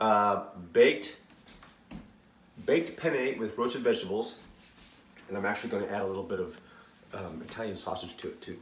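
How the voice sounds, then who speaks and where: With fairly low pitch, ordinary pitch variation and big swings in loudness, a man talks at a fairly quick pace with long, frequent pauses amid audible room echo. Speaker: cooking channel host. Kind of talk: cooking tutorial. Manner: casual, with fillers.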